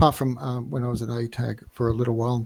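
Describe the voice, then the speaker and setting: A man of medium pitch sounds somewhat breathy, with a slight Australian accent. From Australia, Melbourne. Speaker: flight sim gamer, businessman. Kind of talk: casual interview. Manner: halting, hesitant.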